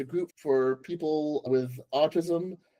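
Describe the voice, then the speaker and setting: The tone is dark and mellow. The sound is dry and close with no echo. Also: man. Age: 20s. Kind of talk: casual interview.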